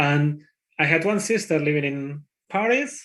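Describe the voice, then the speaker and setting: A man with a strong Spanish accent and a fairly high pitch. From Spain. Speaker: conference speaker, IT developer. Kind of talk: conference talk. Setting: conference talk. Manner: hesitant, with fillers.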